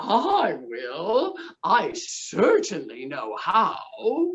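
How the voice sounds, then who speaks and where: In a put-on character voice, a woman speaks at a high pitch and a very slow pace. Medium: read story.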